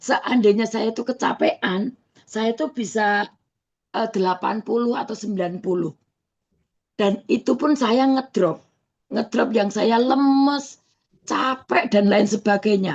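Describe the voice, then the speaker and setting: A woman speaks at a fairly slow pace, her fairly high pitch showing ordinary variation. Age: 60s. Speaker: customer giving testimonial. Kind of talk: testimony. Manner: halting, many fillers.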